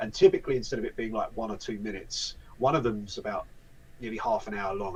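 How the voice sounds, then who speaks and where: A man speaks with a British accent. His pace is very fast. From UK. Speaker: voice actor and event volunteer. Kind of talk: casual interview chat. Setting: live video interview.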